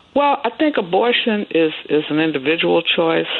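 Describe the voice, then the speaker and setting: The speaker has an American accent and a moderate pace. Noticeable background noise can be heard. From Chicago (Chatham). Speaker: pastor and former lawyer. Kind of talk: radio interview, faith commentary.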